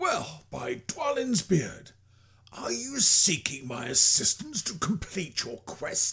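A man puts on a character voice with a high pitch. He speaks at a fairly slow pace. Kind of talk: video game character demo.

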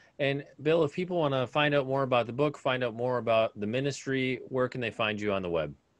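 A man with ordinary pitch variation at a fairly quick pace, in a dry sound with no echo. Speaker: interview show host. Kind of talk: interview conversation. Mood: warm, upbeat. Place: home room. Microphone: studio mic.

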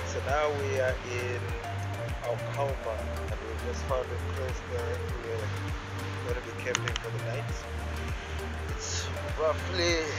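Over loud background music, a man speaks at a very slow pace with long, frequent pauses. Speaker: angler vlogger. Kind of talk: casual vlog chat. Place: open country.

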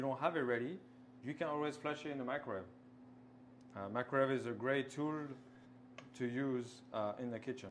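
A man's voice at a fairly quick pace, with ordinary pitch variation and light background noise. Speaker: pastry chef instructor. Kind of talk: tutorial. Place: kitchen. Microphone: lapel.

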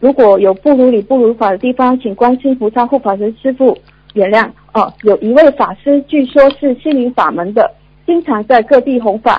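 Speaking at a moderate pace, a woman uses a high pitch with ordinary variation. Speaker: caller. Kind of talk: reading questions aloud. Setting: phone call. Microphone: phone line.

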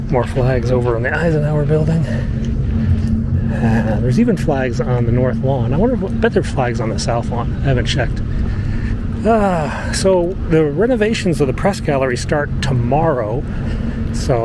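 A man talks with long, frequent pauses against loud background noise, the sound dry with no echo. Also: moderate pace. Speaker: press photographer vlogger. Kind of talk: casual vlog chat. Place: street. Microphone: phone near.

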